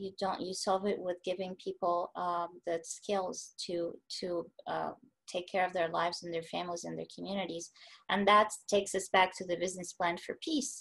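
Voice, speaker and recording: In a plain, everyday voice, a woman with a medium pitch speaks at a moderate pace with fairly even intonation. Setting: online video call.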